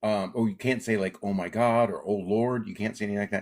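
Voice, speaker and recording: A man speaks with an American accent in an unremarkable speaking voice, medium pitch and ordinary pitch variation. The recording is very clean, with a silent background. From Alaska. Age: 60s. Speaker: comedian. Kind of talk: interview.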